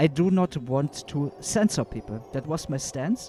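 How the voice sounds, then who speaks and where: Over music in the background, a man with a German accent talks fairly slowly with lively intonation. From Germany. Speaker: gaming YouTuber. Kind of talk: livestream commentary. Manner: halting, many fillers.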